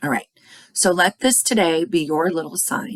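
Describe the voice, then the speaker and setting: A woman's medium-pitched voice with lively intonation, dry and close with no echo. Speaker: oracle card reader. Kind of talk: casual spiritual card reading talk. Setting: at home. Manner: restrained volume, not loud.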